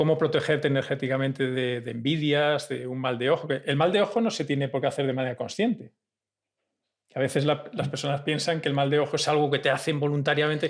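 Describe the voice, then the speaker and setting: A man speaks with a Spanish accent at a very fast pace. His pitch is fairly high, with ordinary variation. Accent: Peninsular Spanish. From Spain. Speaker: podcast host. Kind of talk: interview conversation.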